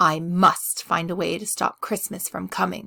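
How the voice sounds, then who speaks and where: Using a put-on character voice, a woman growls at a fairly low pitch and a moderate pace. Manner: growling, snarling.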